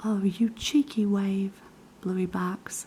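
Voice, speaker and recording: Soft-spoken delivery at a very slow pace. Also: woman. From New Zealand. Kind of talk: children's book reading.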